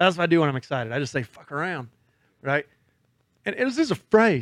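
A man's voice comes through with a dry, close sound and no echo. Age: 40s. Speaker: podcast host. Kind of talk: casual chat. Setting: studio.

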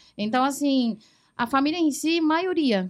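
Speaking very slowly with a Mandarin accent, a woman shows ordinary pitch variation. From Taiwan, central island. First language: Mandarin (speaking Portuguese). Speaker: foreign trade professional. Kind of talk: casual chat.

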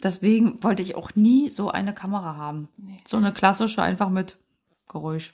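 A woman talks at a moderate pace in a medium, somewhat breathy voice. Her pitch varies in an ordinary way while her loudness swings a lot. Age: 30s. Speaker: parenting podcast co-host. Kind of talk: casual chat.

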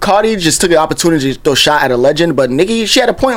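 A man with a New York accent talks at a very fast pace. His pitch swings very widely. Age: 20s. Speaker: podcast co-host. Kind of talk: casual chat.

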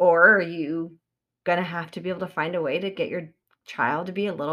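At a moderate pace, a woman speaks in a medium-pitched voice with a bright, sharp tone. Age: 30s. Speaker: podcast host, new mother. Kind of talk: solo monologue podcast.

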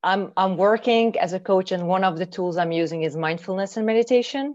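A woman speaks with a Hungarian accent against a quiet background. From Hungary. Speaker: mindfulness trainer and coach. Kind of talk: interview. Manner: halting.

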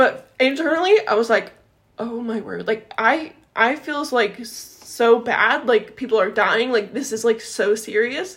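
With an unremarkable speaking voice, a woman talks at a fairly slow pace and a fairly high pitch, using ordinary pitch variation. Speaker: podcast co-host. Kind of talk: casual chat.

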